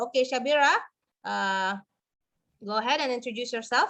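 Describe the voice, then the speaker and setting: A woman with an Indonesian accent speaks fairly quickly in a high voice. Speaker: webinar host. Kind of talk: moderating webinar with translation.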